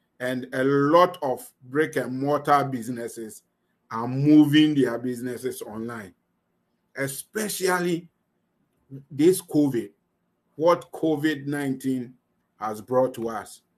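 A man talks at a very slow pace and a fairly high pitch, with ordinary pitch variation. His loudness swings a lot, and he leaves long, frequent pauses. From Ghana. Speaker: online business coach. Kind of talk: live online class. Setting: video call. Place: home room. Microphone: webcam.

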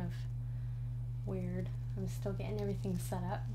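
Loud background noise behind a woman's moderate pace. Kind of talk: casual vlog chat. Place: home room. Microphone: studio mic.

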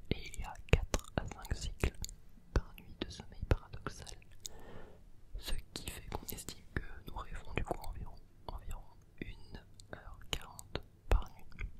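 The voice whispers at a fairly slow speed, broken by long pauses that come often. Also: man. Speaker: ASMR creator. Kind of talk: ASMR quiz read to help sleep. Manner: slow, close whispering. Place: home room. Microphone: studio mic.

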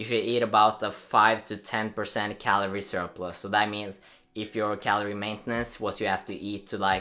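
The tone is bright and sharp. The intonation stays monotone and flat. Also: man. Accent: Norwegian. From Norway. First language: Norwegian. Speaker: fitness youtuber. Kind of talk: casual explainer video. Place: home room.

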